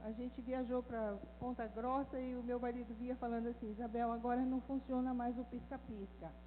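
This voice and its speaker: A woman talks at a moderate pace with hardly any pauses. Her pitch is high. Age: 60s. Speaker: women's ministry speaker, former missionary. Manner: animated.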